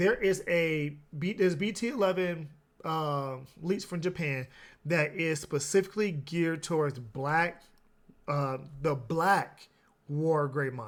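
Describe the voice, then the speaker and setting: A man with an American accent and an ordinary speaking voice talks at a fairly slow pace in a fairly high pitch with ordinary pitch variation, on a very clean recording with a silent background. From US Midwest, Chicago. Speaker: trading card game YouTuber. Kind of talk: market commentary video. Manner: casual, some filler and restarts.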